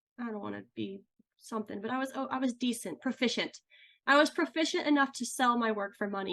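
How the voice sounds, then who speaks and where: A woman with an American accent talks at a very fast pace. Her pitch is high, with ordinary variation. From US Midwest, St. Louis area, Missouri. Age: 30s. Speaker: ceramic artist and podcast host. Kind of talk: interview, casual chat.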